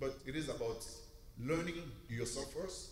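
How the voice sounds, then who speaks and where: There is noticeable background noise in this clip. A man speaks over it with lively intonation. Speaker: recruitment lead, audience member. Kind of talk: audience comment. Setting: church.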